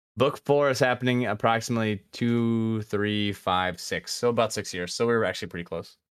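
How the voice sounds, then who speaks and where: In a very clean recording with a silent background, a man with an unremarkable speaking voice and medium pitch talks at a fairly quick pace, with fairly even intonation and hardly any pauses. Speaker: podcast host.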